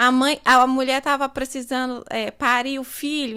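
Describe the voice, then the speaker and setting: High in pitch, a woman raises and projects her voice. Her tone is bright and sharp. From Northeast Brazil, Recife, Pernambuco. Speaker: psychology student and charity founder. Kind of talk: podcast interview.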